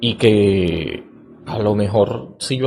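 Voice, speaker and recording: This man's tone is dark and mellow. There is a somewhat breathy quality to it. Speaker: podcast host, educator on cognition and reading. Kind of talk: lecture-style monologue. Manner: hesitant, many filler sounds (eh).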